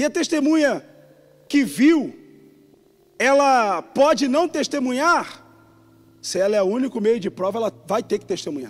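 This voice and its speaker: The speaker, in a Rio de Janeiro accent, talks at a fairly slow pace with lively intonation. Long, frequent pauses break up the speech. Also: man, extremely high pitch for a man. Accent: carioca. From Rio de Janeiro, Brazil. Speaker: pastor. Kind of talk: sermon. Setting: church.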